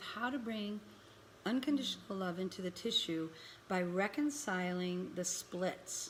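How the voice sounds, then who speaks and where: Lively intonation marks a woman's plain, everyday voice at medium pitch. She keeps a moderate pace. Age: 60s. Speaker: spiritual healing teacher. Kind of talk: live-stream talk. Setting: live online event.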